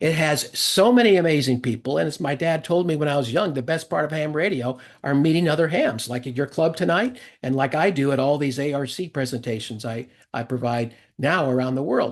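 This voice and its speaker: With an American accent and an enthusiastic tone, a man talks at a fairly quick pace and fairly high pitch, with ordinary pitch variation against a quiet background. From Upstate New York. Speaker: ham radio presenter, retired engineer. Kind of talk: technical presentation. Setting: video call.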